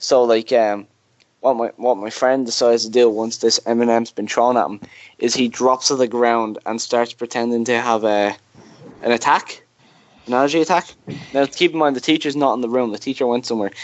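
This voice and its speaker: The speaker has a Dublin accent and a fairly quick pace. The intonation stays fairly even. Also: man, medium pitch for a man. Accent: Dublin Irish. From Ireland, Dublin. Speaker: podcast host. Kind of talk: casual chat.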